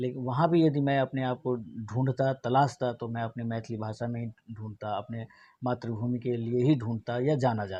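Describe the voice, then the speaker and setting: A man with a Bihar accent speaks at a medium pitch in a dark, mellow tone. His intonation stays fairly even against a quiet background. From Mithila region, Bihar, India. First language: Maithili (speaking Hindi). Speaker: theatre publications editor. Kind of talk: interview.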